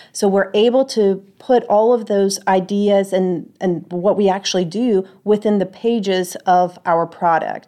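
A woman with a Polish accent at a medium pitch, fairly slow and with hardly any pauses, her loudness very even and intonation fairly even. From Poland. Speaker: IT auditor and instructor. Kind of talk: interview. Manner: frequent fillers (uh, um).

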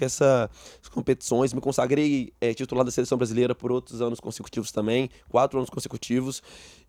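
The speaker has a Minas Gerais accent and monotone, flat intonation. The recording is very clean, with a silent background. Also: man. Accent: Brazilian Portuguese, mineiro. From Brazil, Belo Horizonte (Minas Gerais). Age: 20s. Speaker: taekwondo athlete. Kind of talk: interview.

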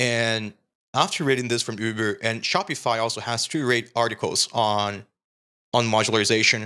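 A man speaks with a Portuguese accent in a bright, sharp tone. The recording is very clean, with a silent background. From Brazil. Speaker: software developer and screencast creator.

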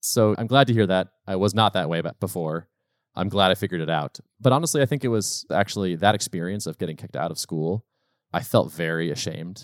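In a very clean recording with a silent background and a dry, close sound with no echo, a man with an American accent and a very deep, low pitch talks very fast with lively intonation. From Massachusetts, US Northeast. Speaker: software company co-founder. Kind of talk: casual interview chat.

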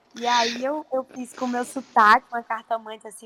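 A woman's fairly high voice comes through a dry, close sound with no echo, over noticeable background noise. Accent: Paraíba. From Paraíba, Northeast Brazil. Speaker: actress. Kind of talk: interview.

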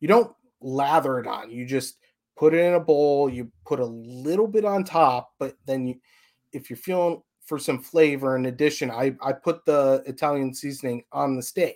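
A man with an American accent talks at a moderate pace in a plain, everyday voice, fairly high in pitch with ordinary pitch variation. The recording is very clean, with a silent background. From Chicago suburbs, US Midwest. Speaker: fan podcast host. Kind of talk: casual chat.

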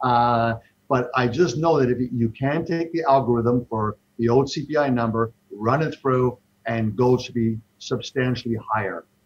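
This man has an unremarkable speaking voice, medium in pitch, with ordinary pitch variation. He talks at a fairly slow pace. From Toronto, Canada. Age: 60s. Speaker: investment fund manager. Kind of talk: casual interview.

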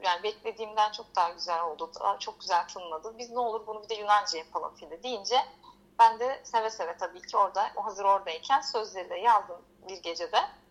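Speaking in a plain, everyday voice, a woman goes at a fairly quick pace with medium pitch, ordinary pitch variation and big swings in loudness. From Turkey, Izmir. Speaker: singer-songwriter. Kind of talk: radio interview, casual chat.

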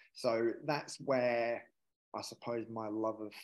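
At a fairly slow pace, a man speaks with a fairly low pitch and little pitch movement.

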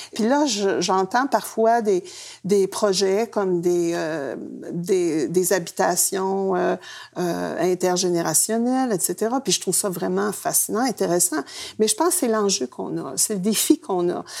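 Over music in the background, a woman at a medium pitch speaks very slowly with lively intonation. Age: 70s. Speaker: retired activist. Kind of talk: casual chat.

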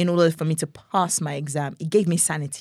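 A woman speaks with a Nigerian accent on a very clean recording with a silent background. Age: young. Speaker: gospel singer. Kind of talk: casual interview chat. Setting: studio.

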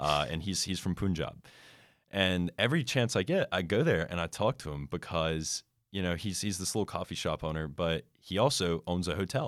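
Very deep and low in pitch, a man speaks with an American accent and lively intonation at a moderate pace, on a very clean recording with a silent background. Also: dry, close sound with no echo. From United States. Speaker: student podcast host. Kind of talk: casual chat.

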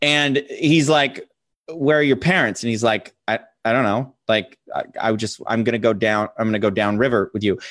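Speaking at a moderate pace, a man with an American accent has an unremarkable speaking voice, medium pitch and ordinary pitch variation. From US, small town. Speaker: podcast co-host. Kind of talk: casual chat.

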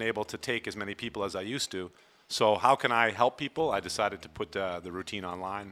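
A man with an American accent talks at a very fast pace in a bright, sharp tone. The recording is very clean, with a silent background. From Vermont, US. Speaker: personal fitness trainer. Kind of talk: casual interview chat.

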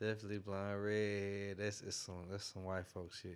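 Heard on a very clean recording with a silent background, an unremarkable speaking voice moves at a moderate pace. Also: man. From Greenville, South Carolina. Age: 30s. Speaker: music producer. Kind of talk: casual interview chat. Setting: studio.

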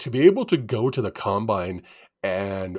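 A man speaks with a Western Canadian accent. The recording is very clean, with a silent background. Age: 50s. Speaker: sports podcast co-host. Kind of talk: casual chat. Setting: studio. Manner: animated.

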